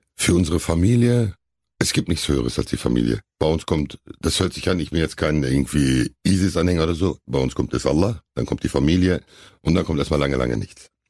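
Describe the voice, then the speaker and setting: Dry and close with no echo, the voice moves at a fairly quick pace with lively intonation, a dark, mellow tone and vocal fry. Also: man. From Hamm, Germany. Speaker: actor and bodyguard. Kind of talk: casual interview.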